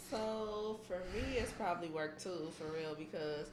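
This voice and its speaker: A woman's medium-pitched voice with an American accent, ordinary pitch variation and a fairly slow pace, plus audible room echo and noticeable background noise. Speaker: podcast co-host. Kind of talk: casual chat. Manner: soft-spoken; calm.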